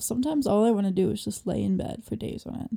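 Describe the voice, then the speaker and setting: A woman speaks very fast in a dark, mellow tone. Her intonation is lively and her tone sounds amused. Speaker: podcast co-host. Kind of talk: casual chat. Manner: giggly, easily amused.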